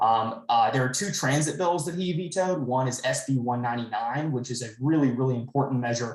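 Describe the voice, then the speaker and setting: The pace is fairly quick, with hardly any pauses. Pitch varies in an ordinary way. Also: man, medium pitch for a man. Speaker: state legislator. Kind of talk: town hall briefing. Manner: fast.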